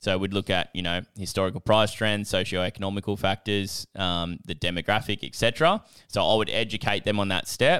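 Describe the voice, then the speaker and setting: With an Australian accent, a man talks at a fairly quick pace and a fairly low pitch, hardly pausing, his intonation fairly even and the sound dry and close with no echo on a very clean recording with a silent background. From Australia, Newcastle NSW. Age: 20s. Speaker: business coach and property investor. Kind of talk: casual interview.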